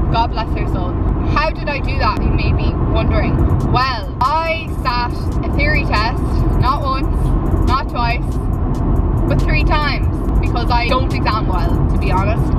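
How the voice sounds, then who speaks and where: A woman's voice with long, frequent pauses and music in the background. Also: moderate pace. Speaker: vlogger. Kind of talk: casual vlog chat. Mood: chatty, humorous storytelling. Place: car. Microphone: phone near.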